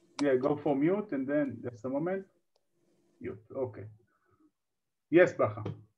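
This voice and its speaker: A man speaks at a fairly high pitch with lively intonation and a somewhat breathy voice. Long, frequent pauses break up his speech. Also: moderate pace. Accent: Israeli. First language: Hebrew. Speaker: online workshop host. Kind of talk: live online workshop hosting. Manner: halting, many fillers.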